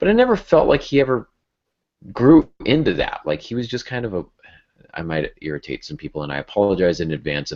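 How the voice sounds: A man talks at a fairly low pitch. His pitch swings very widely, and his tone is slightly mellow.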